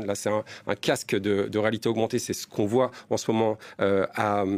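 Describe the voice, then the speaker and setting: A very clean recording of a man, silent in the background. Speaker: tech journalist. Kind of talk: TV interview. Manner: hesitant, many fillers.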